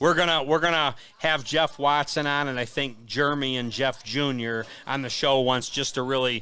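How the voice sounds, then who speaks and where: A man speaks loudly at a moderate pace. His pitch is fairly high and his tone bright and sharp. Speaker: racing show host. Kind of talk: live streamed show chat. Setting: pizza parlor.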